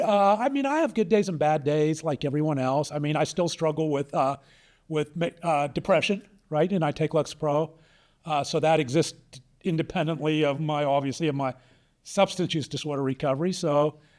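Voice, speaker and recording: A man speaks in an ordinary speaking voice with an American accent, fairly high in pitch, with ordinary pitch variation. His pace is moderate, on a very clean recording with a silent background. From Pittsburgh, US. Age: 60s. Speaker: attorney and author. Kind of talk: interview conversation.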